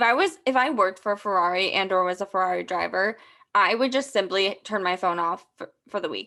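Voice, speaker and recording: A woman uses an unremarkable speaking voice at a medium pitch with ordinary pitch variation. Her pace is fairly quick. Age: 20s. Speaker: sports podcast co-host. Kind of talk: casual chat.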